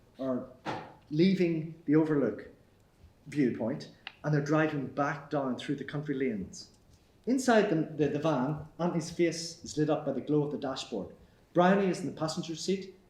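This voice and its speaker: A man talks at a fairly high pitch with ordinary pitch variation. His voice is somewhat breathy. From Northern Ireland. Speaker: actor. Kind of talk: screenplay table read, stage directions. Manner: hesitant, reading aloud.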